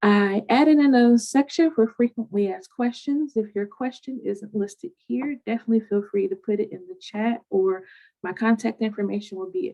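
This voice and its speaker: With hardly any pauses, the speaker talks in a somewhat breathy voice with lively intonation, the sound dry and close with no echo. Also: woman, big swings in loudness. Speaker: city housing program staff presenter. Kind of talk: webinar presentation. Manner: fast.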